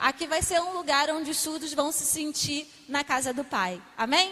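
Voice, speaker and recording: Projecting a raised voice through noticeable background noise, a woman speaks at an extremely high pitch, with fairly even intonation and a moderate pace. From Brazil, Rio de Janeiro. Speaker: missionary. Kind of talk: testimony. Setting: church.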